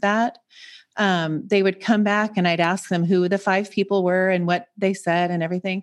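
A woman with an American accent and an unremarkable speaking voice talks at a medium pitch with fairly even intonation, recorded with a dry, close sound, no echo and a quiet background. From US Pacific Northwest, Seattle. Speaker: transformational coach. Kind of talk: casual chat.

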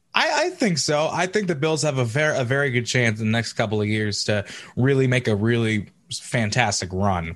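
A man with an unremarkable speaking voice talks at a fairly quick pace with lively intonation and very even loudness. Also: medium pitch for a man. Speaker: podcast host. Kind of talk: casual interview.

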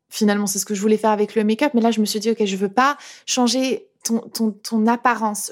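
A woman speaks at a fairly high pitch with fairly even intonation on a very clean recording with a silent background. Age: 30s. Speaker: YouTube content creator. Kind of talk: testimony. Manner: casual, hesitant with repetitions.

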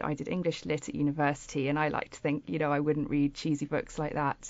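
A woman speaks with a very deep, low-pitched voice. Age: 40s. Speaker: author. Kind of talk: casual chat.

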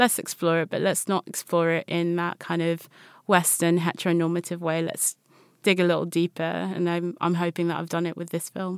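Speaking at a fairly quick pace with monotone, flat intonation, a woman with a British accent is heard in a very clean recording with a silent background and a dry, close sound with no echo. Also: fairly low pitch for a woman. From DR Congo, raised in the UK. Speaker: multidisciplinary artist. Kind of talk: casual interview chat. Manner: casual, filler-heavy.

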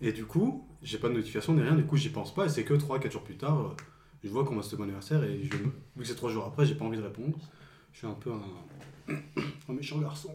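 A man's dark, mellow tone with vocal fry, a fairly quick pace, ordinary pitch variation and big swings in loudness. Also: medium pitch for a man. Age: 20s. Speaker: friend of host. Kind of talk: casual chat.

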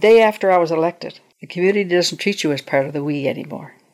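A woman with an unremarkable speaking voice talks at a fairly quick pace, her fairly low pitch showing ordinary variation. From Nova Scotia, Canada (Truro). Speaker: former provincial politician and cabinet minister. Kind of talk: interview.

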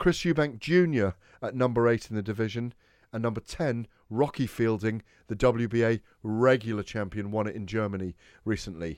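In a British accent, the speaker talks at a moderate pace with ordinary pitch variation over a quiet background. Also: man, medium pitch for a man. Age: 40s. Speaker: boxing radio host. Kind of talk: sports radio talk show.

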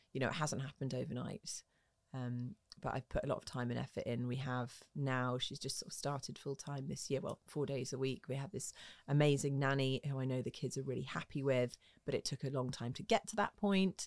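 A woman with a southern English accent speaks at a fairly quick pace in a very deep, low voice with ordinary pitch variation, recorded dry and close with no echo on a very clean track against a silent background. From southwest London, England. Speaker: motorsport TV presenter. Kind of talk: interview.

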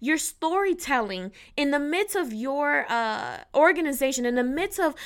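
A woman's high, animated voice at a fairly slow pace, full of lively intonation, on a very clean recording with a silent background. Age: 30s. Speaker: podcast host. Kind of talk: solo podcast talk.

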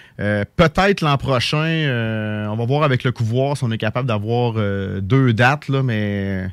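Speaking at a fairly slow pace with hardly any pauses, a man uses a plain, everyday voice at medium pitch with ordinary pitch variation. The sound is dry and close, with no echo. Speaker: poultry supply business owner. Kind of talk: radio interview.

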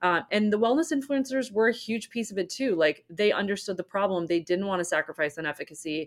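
A woman with an American accent uses an ordinary speaking voice at a fairly quick pace, with ordinary pitch variation, in a very clean recording with a silent background and a dry, close sound with no echo. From US Northeast, Rhode Island. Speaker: entrepreneur, company co-founder. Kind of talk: interview.

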